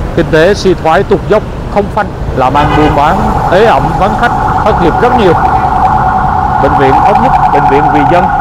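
A man's fairly quick speech, dry with no echo, over loud background noise. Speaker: street vlogger. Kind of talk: casual vlog commentary. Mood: concerned, hopeful. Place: street. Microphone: phone near.

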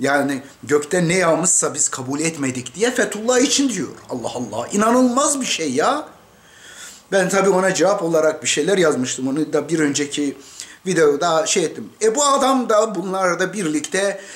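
A man at a moderate pace with very wide pitch swings. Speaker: commentator. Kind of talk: political commentary. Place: home room. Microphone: webcam.

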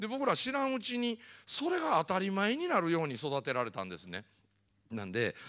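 Against a quiet background, a man speaks in an animated tone at a fairly quick pace. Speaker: motivational speaker. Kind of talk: lecture. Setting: stage with audience. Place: hall. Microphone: handheld.

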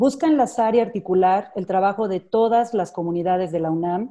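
Against a quiet background, a woman's dark, mellow voice holds a fairly even intonation. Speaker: event coordinator introducing the speaker. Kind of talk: formal introduction. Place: home room. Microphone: earbuds.

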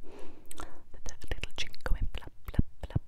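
A woman whispers over noticeable background noise. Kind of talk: ASMR whispered storytelling for sleep. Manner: whispered, soft, relaxing.

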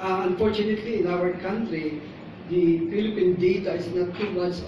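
Amid audible room echo and noticeable background noise, a man speaks at a high pitch with fairly even intonation. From Philippines. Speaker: neurology professor. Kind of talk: conference lecture. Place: hall. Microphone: camera far.

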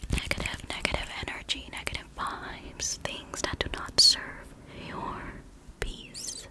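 Whispering at a fairly slow pace, a woman uses a soothing tone. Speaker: ASMR creator. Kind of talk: ASMR whispered comfort talk with snipping sounds. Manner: soft, soothing, repetitive. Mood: gentle, comforting. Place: home room. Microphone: studio mic.

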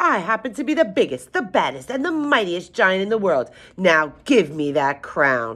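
Shouting in a put-on character voice, the speaker keeps a middle pitch and a moderate pace, with very wide pitch swings. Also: female-sounding voice. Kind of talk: storybook read-aloud. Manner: yelling, boastful.

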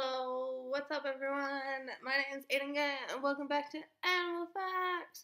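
A woman projects a raised voice with a bright, sharp tone. Her intonation is lively and sing-song against a quiet background. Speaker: animal facts vlogger. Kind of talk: casual vlog chat. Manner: tipsy, sing-song, loose intro. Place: home room. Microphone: webcam.

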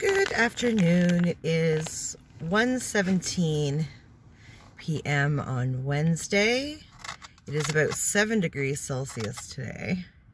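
A woman with a fairly low voice speaks very slowly, her intonation lively. The recording has noticeable background noise and a dry sound with no echo. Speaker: vlogger. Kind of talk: casual talk to camera. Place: car. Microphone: phone near.

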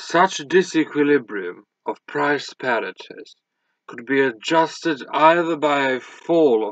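A man with a fairly high pitch talks at a fairly slow pace. The sound is dry with no echo over a quiet background. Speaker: audiobook reader. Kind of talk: audiobook reading of a scholarly history text, read aloud. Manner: formal, measured, even-paced. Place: home room. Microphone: webcam.

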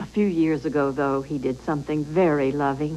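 Soft-spoken and very deep in pitch, a woman talks at a moderate pace over light background noise. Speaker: actress playing a widow. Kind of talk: 1980s TV commercial testimonial, scripted. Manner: soft, wistful, sincere. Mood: warm, fond, smiling. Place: home room.

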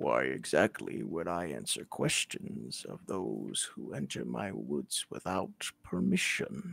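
In a put-on character voice, a man speaks at a very deep, low pitch and a fairly slow pace. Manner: haughty, imperious.

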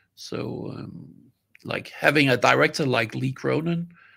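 There is no noise behind the voice. A man talks at a middling speed. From Denmark. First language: Danish. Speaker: film sound designer; guest. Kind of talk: interview. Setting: video call. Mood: enthusiastic, warm. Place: home room.

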